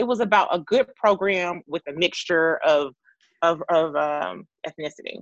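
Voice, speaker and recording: A woman with a fairly low pitch and vocal fry is heard over a quiet background. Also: ordinary pitch variation, moderate pace. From Atlanta, Georgia. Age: 30s. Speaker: physical therapist, former college cheerleader. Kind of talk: interview. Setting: call.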